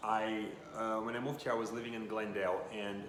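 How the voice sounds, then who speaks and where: A man with a Russian accent speaks fairly quickly at a fairly low pitch. Noticeable background noise and audible room echo surround him. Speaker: vlogger. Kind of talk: casual vlog monologue.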